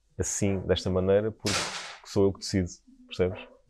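A man's very deep, low voice with a dark, mellow tone, flat monotone intonation and a European Portuguese accent. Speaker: Michelin-starred chef. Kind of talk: casual interview chat. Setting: restaurant site under construction.

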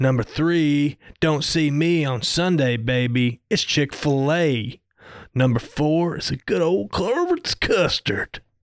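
With a dry, close sound and no echo, a man with a fairly high pitch speaks very slowly with ordinary pitch variation. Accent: American. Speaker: podcast co-host. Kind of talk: casual chat.

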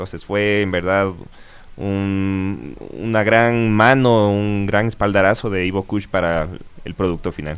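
A man talks at a very slow pace, his fairly low voice keeping fairly even intonation. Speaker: punk band guitarist. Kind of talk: interview.

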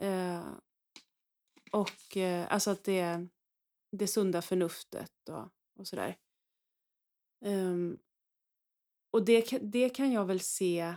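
A woman speaks at a very slow pace with long, frequent pauses, her dark, mellow tone rising and falling in big swings of loudness within a dry, close sound with no echo. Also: medium pitch for a woman, ordinary pitch variation. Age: 40s. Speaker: priest. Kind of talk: casual chat.

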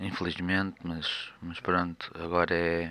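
The voice has a bright, sharp tone and a Lisbon accent. It moves at a very slow pace. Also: man. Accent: European Portuguese (Lisbon). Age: 20s. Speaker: podcaster sharing life with schizophrenia. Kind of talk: personal monologue. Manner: hesitant.

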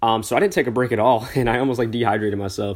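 Over a very clean recording with a silent background, a man talks very fast at a medium pitch. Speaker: podcast host. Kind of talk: casual solo monologue. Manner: hesitant, many fillers.

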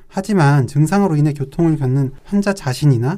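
This man's voice sits at a fairly high pitch with a dark, mellow tone. He moves at a moderate pace. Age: young. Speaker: psychiatrist co-host. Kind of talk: casual chat.

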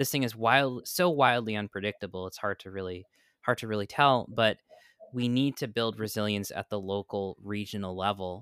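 A man with an American accent speaks at a moderate pace in an unremarkable speaking voice, his pitch fairly low with ordinary variation. The recording is very clean with a silent background and a dry, close sound with no echo. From New York. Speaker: podcast host. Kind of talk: casual political discussion.

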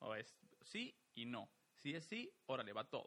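The man's voice has a bright, sharp tone. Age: 30s. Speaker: podcast co-host. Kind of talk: casual chat.

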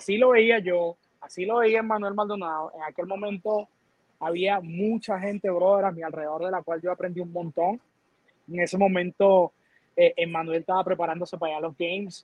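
Intonation stays fairly even while the speech keeps a moderate pace. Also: man, high pitch for a man. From Venezuela. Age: 40s. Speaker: fitness coach. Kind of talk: casual interview.

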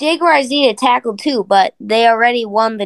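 This woman has an ordinary speaking voice, fairly high, with lively intonation. The sound is dry and close with no echo. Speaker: guest podcaster. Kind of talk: casual chat.

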